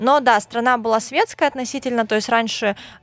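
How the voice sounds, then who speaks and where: Woman, fairly high-pitched, an ordinary speaking voice, ordinary pitch variation, very clean recording with a silent background. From Russian Far East, Khabarovsk. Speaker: blogger. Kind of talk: casual interview.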